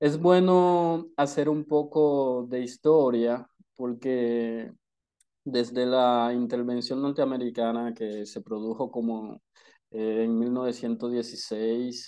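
The background is quiet. A man talks at a very slow pace in a dark, mellow tone. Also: medium pitch for a man, ordinary pitch variation. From Dominican Republic. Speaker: activist. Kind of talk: interview.

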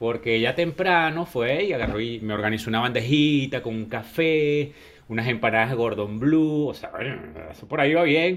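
An ordinary speaking voice at a moderate pace. The intonation is lively. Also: man, medium pitch for a man. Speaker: podcast co-host. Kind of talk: casual chat.

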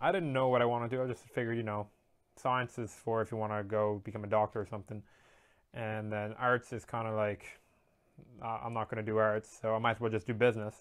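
A man speaks very fast in a monotone, flat delivery. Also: medium pitch for a man. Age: 20s. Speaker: student vlogger. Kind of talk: personal vlog monologue. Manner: halting.

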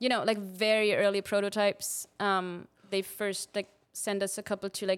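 A woman's medium-pitched voice with a German accent at a moderate pace, on a very clean recording with a silent background. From Austria. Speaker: photography company manager. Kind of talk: casual chat. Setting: studio.

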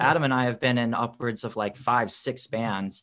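A man talks in a plain, everyday voice with ordinary pitch variation. The background is quiet. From US Midwest (Wisconsin, born in Chicago). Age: 30s. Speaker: pop punk singer and bassist. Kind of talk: casual interview.

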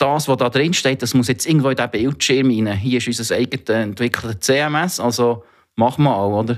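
This man talks at a fairly quick pace, his pitch medium and its variation ordinary. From Switzerland, Thun (Bernese Oberland). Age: 40s. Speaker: digital health center CEO. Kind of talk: podcast interview.

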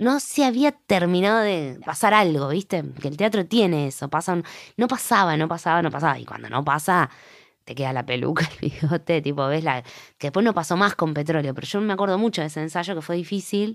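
A woman with a Rioplatense accent talks at a fairly quick pace with lively intonation and a fairly low pitch. The recording is very clean, with a silent background. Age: 40s. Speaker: actress and playwright. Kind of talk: interview. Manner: halting.

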